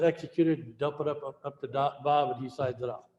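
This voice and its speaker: Speaking at a fairly quick pace with a fairly high pitch and ordinary pitch variation, a man is heard with audible room echo and light background noise. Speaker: real estate software trainer. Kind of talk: tutorial. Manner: fast. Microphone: webcam.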